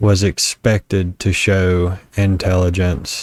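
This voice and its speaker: A man's very deep, low voice in a strong Southern US accent, very slow and monotone, with dry, close sound and no echo. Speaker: vlogger. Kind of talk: personal reflection monologue. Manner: halting, repeated starts.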